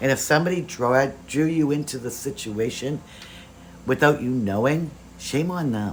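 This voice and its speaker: Using ordinary pitch variation, a man talks at a moderate speed in a medium pitch. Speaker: tarot reader. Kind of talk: tarot reading. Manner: occasional coughing.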